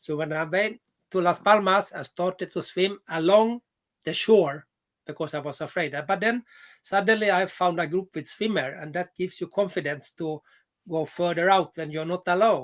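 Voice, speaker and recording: In a quiet background, a man speaks in a high voice with ordinary pitch variation. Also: moderate pace, dry, close sound with no echo. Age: 60s. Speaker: adventure swimmer. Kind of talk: interview. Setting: video call. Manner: halting.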